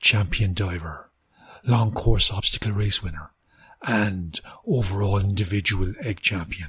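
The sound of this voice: An unforced reading voice is heard over a quiet background. The intonation is fairly even.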